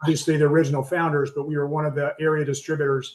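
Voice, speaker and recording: Speaking at a very fast pace with a Southern US accent, a man keeps a flat, monotone intonation at a fairly high pitch. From US South, Arkansas (Texarkana). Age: 60s. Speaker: commercial real estate broker and author. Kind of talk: podcast interview.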